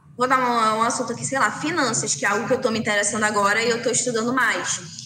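Music plays in the background as a woman talks at a fairly quick pace and fairly high pitch. Her pitch varies in an ordinary way, with audible room echo. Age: 20s. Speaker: influencer marketing agency manager. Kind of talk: casual interview.

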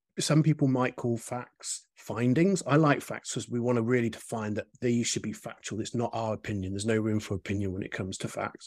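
A man talks with a British accent. He leaves hardly any pauses. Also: medium pitch for a man, ordinary pitch variation, fairly quick pace. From UK. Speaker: UX research method creator. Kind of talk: casual chat. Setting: video call.

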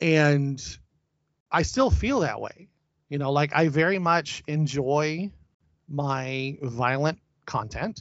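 This man talks at a very slow pace with long, frequent pauses. His pitch is fairly high, with ordinary pitch variation. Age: 40s. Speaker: film director. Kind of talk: casual interview. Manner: hesitant, many fillers.

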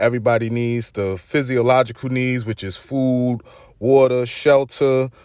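In a Brooklyn accent, a man speaks at a medium pitch with an energetic tone and a fairly slow pace. The recording is very clean, with a silent background. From Brooklyn, New York. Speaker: podcast host. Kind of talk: informal street slang. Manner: casual, energetic slang-heavy delivery.

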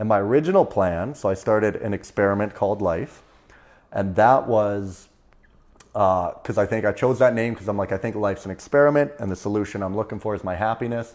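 A man with a Canadian accent and an ordinary speaking voice talks at a fairly quick pace in a fairly low pitch, with ordinary pitch variation. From Canada, Prince George, British Columbia. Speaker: stand-up comedian, former pulp mill worker. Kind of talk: casual interview. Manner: casual, uses dude and man often.

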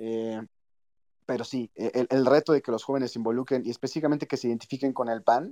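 With a dark, mellow tone and medium pitch, a man talks at a very fast pace with ordinary pitch variation, in a dry, close sound with no echo and a quiet background. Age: 30s. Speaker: politician. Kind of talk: interview.

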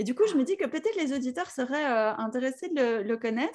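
On a very clean recording with a silent background, a woman talks fairly quickly in a high pitch with lively intonation. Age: 40s. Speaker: podcast host. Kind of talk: interview.

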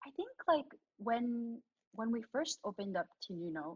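Very wide pitch swings in a somewhat breathy voice. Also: woman, dry, close sound with no echo. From Canada, born in the Philippines. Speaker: restaurant owner. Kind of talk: casual interview.

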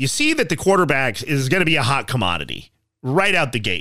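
A man with an American accent speaks in a bright, sharp tone with vocal fry and very wide pitch swings, on a very clean recording with a silent background. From Colorado, Castle Rock. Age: 30s. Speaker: podcast host, sports fan commentator. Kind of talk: casual solo podcast monologue.

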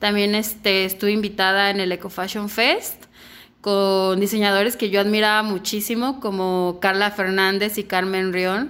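Speaking at a fairly slow pace, a woman in a Guadalajara accent keeps her intonation fairly even. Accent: Mexican Spanish (Guadalajara). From Mexico, Guadalajara. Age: 20s. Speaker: fashion designer. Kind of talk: interview.

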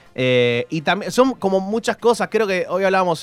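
A man is speaking. He has a Rioplatense accent. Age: 30s. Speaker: radio host. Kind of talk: casual chat.

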